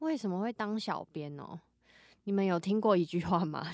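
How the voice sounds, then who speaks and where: A woman speaks at a medium pitch with ordinary pitch variation. She has an ordinary speaking voice. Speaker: social media content creator. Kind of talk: casual chat.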